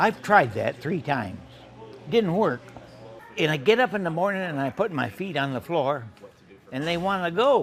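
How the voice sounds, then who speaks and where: Over background music, a man with an American accent and a high pitch speaks at a moderate pace. His pitch swings very widely, and he leaves long, frequent pauses. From Michigan. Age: 90s; old. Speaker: war veteran; barista. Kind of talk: interview answer.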